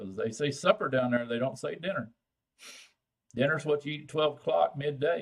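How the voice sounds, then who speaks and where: With a strong Texan accent and vocal fry, a man at fairly high pitch speaks at a moderate pace with long, frequent pauses. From Texas, San Antonio. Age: old. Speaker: vaping channel host. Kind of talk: live stream chat with viewers. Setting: live stream. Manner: casual, halting with fillers.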